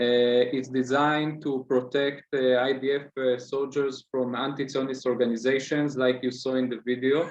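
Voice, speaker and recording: A medium-pitched man with an Israeli accent, monotone and flat, at a moderate pace with hardly any pauses. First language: Hebrew. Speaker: student activist. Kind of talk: interview. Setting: video call. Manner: halting, many fillers.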